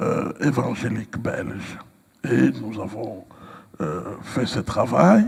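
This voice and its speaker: A man speaking at a very slow pace. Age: 60s. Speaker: pastor. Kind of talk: interview. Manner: hesitant with frequent fillers.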